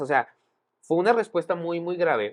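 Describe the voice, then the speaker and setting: In a Mexican accent, a speaker talks at a moderate pace in an animated tone. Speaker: podcast co-host. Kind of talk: casual chat.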